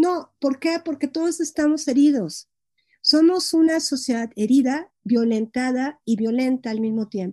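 A woman talks fairly slowly with a Mexican accent, her pitch high and her intonation lively. Her tone is dark and mellow, and the sound is dry and close with no echo. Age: 50s. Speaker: psychologist and gestalt therapist. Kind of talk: interview on psychology.

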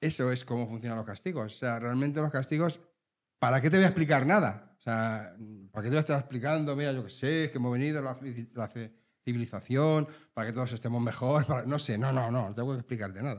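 On a very clean recording with a silent background, a man with an unremarkable speaking voice talks fairly quickly at a medium pitch, with ordinary pitch variation. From Spain, Leganés (Madrid). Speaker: podcast host. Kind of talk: casual chat. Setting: recording with live audience.

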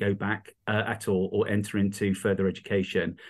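This speaker has an East Midlands accent. The delivery moves at a fairly quick pace. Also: man. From England, Rutland (East Midlands). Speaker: charity founder and entrepreneur. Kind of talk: interview. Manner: hesitant, many fillers.

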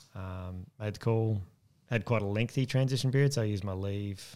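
A man with an Australian accent speaks at a fairly quick pace, his fairly low voice showing ordinary pitch variation. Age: 40s. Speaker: army veteran. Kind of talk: interview.

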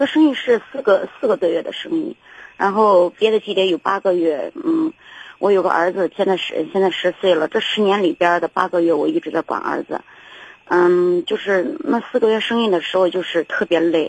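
Recorded with a dry, close sound with no echo, a woman speaks at a moderate pace in a medium pitch, her pitch swinging very widely. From rural China. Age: 40s. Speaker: caller, rural mother and small trader. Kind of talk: call-in advice show. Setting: phone call. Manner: halting, many repetitions.

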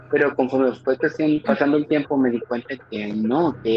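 Moderate pace and fairly even intonation from a man of medium pitch, over noticeable background noise. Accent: Mexican. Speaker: podcast host. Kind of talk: casual chat.

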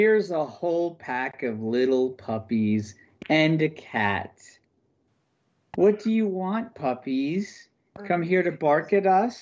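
Growling through a put-on character voice, a man speaks at a fairly slow pace with long, frequent pauses, a fairly high pitch and very wide pitch swings. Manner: snarling, mocking.

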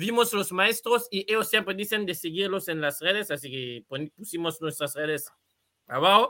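The speech has lively intonation and a bright, sharp tone at a moderate pace. The recording is very clean, with a silent background. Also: man. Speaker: football podcast host. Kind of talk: casual chat. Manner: halting, many repetitions.

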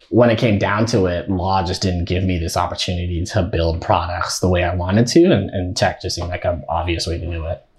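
On a very clean recording with a silent background, a man with a very deep, low pitch and a somewhat breathy voice speaks at a fairly quick pace. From Nigeria. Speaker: software engineering student and product designer. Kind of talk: casual interview. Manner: halting, many fillers and repetitions.

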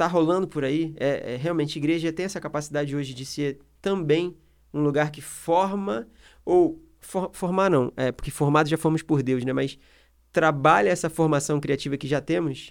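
Pitch shifts in the usual way as a normal speaking voice keeps a moderate tempo. The background is silent and the recording very clean. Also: man. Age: 30s. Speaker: podcast host. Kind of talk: casual chat.

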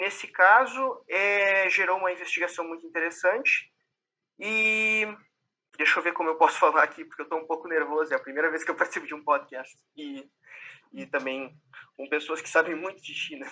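A man with a Brazilian accent talks at a fairly quick pace in a high pitch, his intonation lively. His loudness swings widely. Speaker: PhD researcher. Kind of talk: roundtable discussion.

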